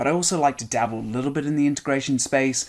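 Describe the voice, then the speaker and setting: Here a man is talking. He speaks with a British accent. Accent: British accent, retained. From UK. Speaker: software engineer, conference speaker. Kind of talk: recorded conference talk. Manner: casual, with frequent fillers.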